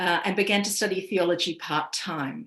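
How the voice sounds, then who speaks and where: In an Australian accent, a woman speaks at a fairly slow pace. Her medium pitch follows fairly even intonation. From Australia, east coast. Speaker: priest. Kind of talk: personal testimony talk. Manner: measured, with frequent fillers.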